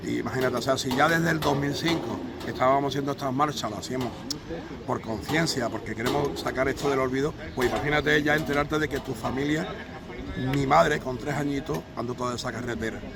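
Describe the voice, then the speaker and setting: A man talks at a very fast pace with a fairly high pitch and fairly even intonation. Audible room echo and noticeable background noise are present. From Málaga, Andalusia, Spain. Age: 60s. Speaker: memorial association member on a commemorative march. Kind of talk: interview testimony.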